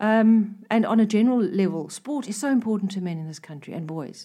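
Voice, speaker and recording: A woman talks at a fairly quick pace at medium pitch. Her tone is dark and mellow, with ordinary pitch variation. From South Africa. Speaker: freelance copywriter. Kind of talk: interview. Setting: studio.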